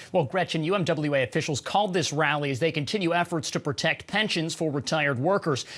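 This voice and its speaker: Moving at a fairly quick pace with ordinary pitch variation, this is an ordinary speaking voice. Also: man. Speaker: TV news reporter. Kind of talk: TV news report.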